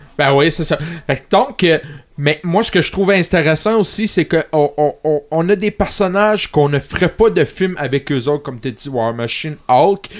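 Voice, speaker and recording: A man with an unremarkable speaking voice talks at a fairly slow pace, pitched fairly high, with lively intonation. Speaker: podcast co-host. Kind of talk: casual chat. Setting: studio.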